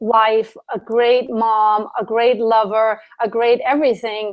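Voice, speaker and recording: A woman's fairly high voice with a German accent, very slow pace and fairly even intonation, over a quiet background. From Germany. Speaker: Ayurvedic specialist and yoga teacher. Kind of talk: interview.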